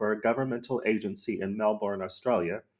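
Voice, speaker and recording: Using a normal speaking voice, a man talks at a fairly quick pace. His pitch variation is ordinary, and the recording is very clean with a silent background. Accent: American. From Arizona, USA. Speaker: podcast host. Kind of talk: podcast intro read.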